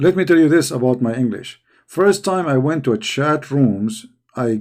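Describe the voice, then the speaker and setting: The speaker has an Arabic accent, heard on a very clean recording with a silent background. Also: man. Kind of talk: casual live chat. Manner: halting, repetitive.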